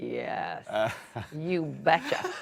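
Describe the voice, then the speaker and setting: A woman with a Dublin accent. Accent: Irish, Dublin. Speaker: actor. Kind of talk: interview answer.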